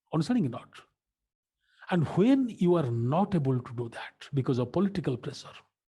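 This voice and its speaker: Fairly quick yet broken by long, frequent pauses, a man's somewhat breathy voice has a fairly high pitch, very wide pitch swings and a dark, mellow tone. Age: 60s. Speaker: teacher. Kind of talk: lecture. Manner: animated.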